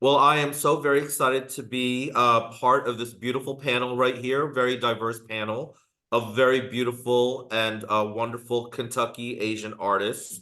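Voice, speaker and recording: Barely pausing, a man speaks at a moderate pace in a medium voice with monotone, flat intonation. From Philippines. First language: Tagalog. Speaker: panel moderator. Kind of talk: moderated panel discussion. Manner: halting, many fillers.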